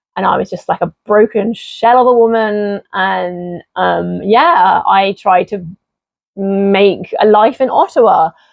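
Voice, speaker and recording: This woman has an English accent. She talks fairly slowly. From southeast England. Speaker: YouTuber. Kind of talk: personal testimony. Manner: casual, many fillers.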